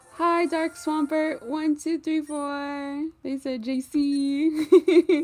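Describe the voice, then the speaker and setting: A woman's high, monotone voice with flat intonation, very slow yet with hardly any pauses, dry and close with no echo, over music in the background. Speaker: gaming streamer. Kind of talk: casual live stream chat.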